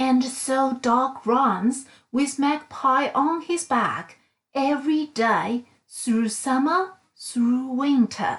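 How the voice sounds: Very slow, high-pitched speech from a woman. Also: ordinary pitch variation.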